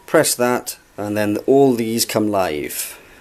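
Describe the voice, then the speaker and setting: Someone with a Welsh accent speaks at a very slow pace with fairly even intonation. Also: man. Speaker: guitarist showing his gear. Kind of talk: gear demonstration. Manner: hesitant, many fillers.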